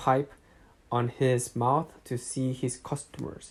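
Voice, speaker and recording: Very slowly, a man speaks with a non-native accent in a medium pitch and a monotone, flat intonation. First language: not English. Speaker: amateur audiobook reader. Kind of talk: reading aloud. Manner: halting, with self-corrections.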